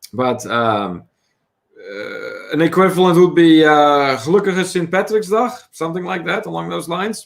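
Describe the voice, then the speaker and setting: A man's high-pitched voice at a moderate pace, with lively intonation and big swings in loudness. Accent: Dutch. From Netherlands. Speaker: travel vlogger, livestream co-host. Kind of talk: casual livestream chat, reading viewer comments.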